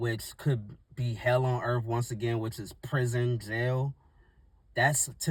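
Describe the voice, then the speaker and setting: A man talks in a somewhat breathy voice with monotone, flat intonation. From US, Washington D.C. (Northeast). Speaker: YouTuber, motivational talker. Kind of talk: casual motivational monologue. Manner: halting, unscripted.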